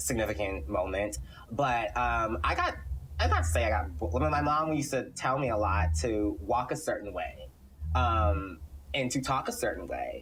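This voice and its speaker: A man with an American accent talks at a fairly low pitch with very wide pitch swings. Noticeable background noise and audible room echo surround him. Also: moderate pace. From Texas, Houston. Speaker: film production company CEO. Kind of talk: podcast interview.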